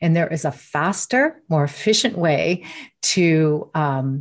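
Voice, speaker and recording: A woman speaks in a very deep, low voice with ordinary pitch variation against a quiet background. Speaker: neurocoach and mindfulness trainer. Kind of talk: interview answers explaining brain science.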